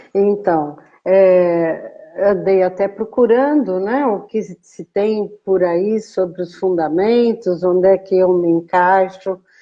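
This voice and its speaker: Her pace is very slow. The woman's pitch is medium and varies in an ordinary way. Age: 70s. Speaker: clinician and educator. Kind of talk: live-stream interview.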